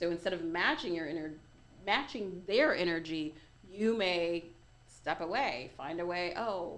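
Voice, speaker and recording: Audible room echo surrounds the speaker. She is a woman with a fairly low pitch. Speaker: life coach. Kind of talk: interview. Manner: fast.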